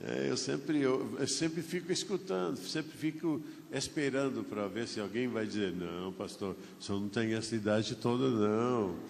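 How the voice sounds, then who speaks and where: At a moderate pace and medium pitch, a man's voice makes very wide pitch swings with audible room echo. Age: 70s. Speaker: pastor. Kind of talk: sermon. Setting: church.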